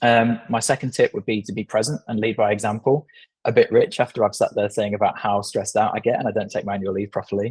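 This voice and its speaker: A man's somewhat breathy, medium-pitched voice at a very fast pace, with fairly even intonation. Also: dry, close sound with no echo. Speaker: agency managing director. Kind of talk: podcast interview.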